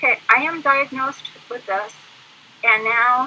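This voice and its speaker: A woman's raised, projected voice, high in pitch and fairly slow, with noticeable background noise. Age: 60s. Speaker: guest speaking about living with PTSD. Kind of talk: interview. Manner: halting, many fillers.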